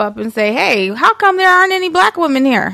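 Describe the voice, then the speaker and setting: Bright and sharp in tone, a woman speaks with lively intonation against a quiet background. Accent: American. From Detroit, east side. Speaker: documentary maker and breastfeeding advocate. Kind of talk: casual chat.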